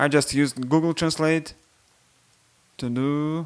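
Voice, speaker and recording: A man speaks with a Russian accent. His pitch is fairly high. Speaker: software developer. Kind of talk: product demo. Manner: halting.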